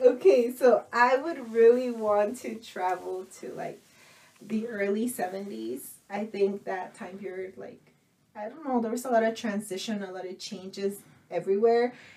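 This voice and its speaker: At a fairly slow pace, a woman with a normal speaking voice talks at a medium pitch, with ordinary pitch variation and big swings in loudness. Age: 30s. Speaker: podcast co-host. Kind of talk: casual bilingual chat.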